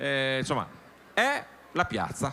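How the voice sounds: Slow speech from a man at a medium pitch, bright and sharp in tone, with very wide pitch swings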